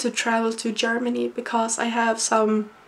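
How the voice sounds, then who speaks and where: A woman with a Swedish accent, fairly high-pitched, at a fairly slow pace. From Sweden. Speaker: university student and vlogger. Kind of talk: personal vlog monologue. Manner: halting.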